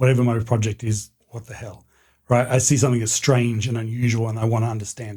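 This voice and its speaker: A man's medium-pitched, somewhat breathy voice with a dark, mellow tone, at a moderate pace, in an Australian accent. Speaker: history professor. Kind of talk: casual interview.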